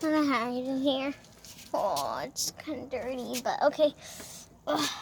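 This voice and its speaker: A woman puts on a character voice, pitched high and delivered at a moderate pace, over clear background noise. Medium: machinima.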